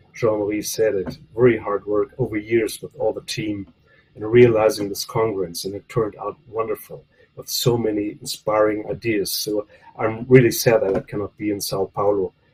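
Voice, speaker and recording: A man's fairly low, somewhat breathy voice, monotone and flat, with big swings in loudness at a moderate pace in a dry, close sound with no echo. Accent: non-native. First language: not English. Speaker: professor. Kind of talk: memorial tribute speech. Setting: video call. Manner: halting.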